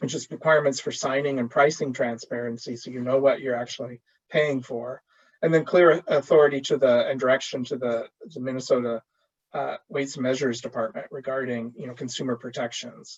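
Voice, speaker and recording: The man talks fairly quickly at a medium pitch with fairly even intonation. His loudness swings widely. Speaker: policy advocate presenting at webinar. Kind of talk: webinar presentation. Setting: online webinar. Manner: fast.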